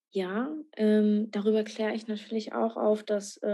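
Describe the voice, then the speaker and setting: A woman's fairly high, dark and mellow voice, fairly slow in pace and monotone with flat intonation. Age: 20s. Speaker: author and student. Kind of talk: interview. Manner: halting, many filler sounds.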